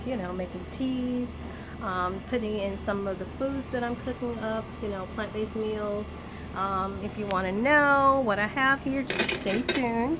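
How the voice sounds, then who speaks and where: Over noticeable background noise, a woman speaks fairly slowly with ordinary pitch variation. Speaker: home vlogger. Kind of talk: casual vlog chat. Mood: cheerful, upbeat. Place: garden. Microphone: phone near.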